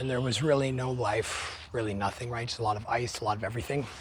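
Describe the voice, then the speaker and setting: Noticeable background noise under fairly quick talking, pitch varying in an ordinary way. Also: man. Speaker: nature photographer. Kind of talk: casual talk to camera. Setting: outdoors.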